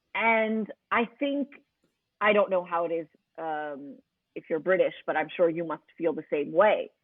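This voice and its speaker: Pitched fairly low, a woman with an American accent speaks at a fairly slow pace in a plain, everyday voice with lively intonation. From New York City, Queens. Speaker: radio host. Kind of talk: podcast interview.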